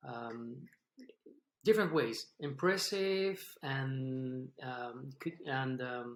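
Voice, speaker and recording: A man speaks with a French accent at a very slow pace. His pitch is medium and his intonation is lively. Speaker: podcast host. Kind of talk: interview. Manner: halting.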